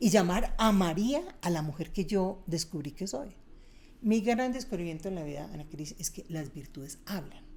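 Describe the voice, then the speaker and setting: At a moderate pace and medium pitch, a woman speaks in an animated tone with lively intonation. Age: 60s. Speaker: speaker and author on happiness. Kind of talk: interview conversation.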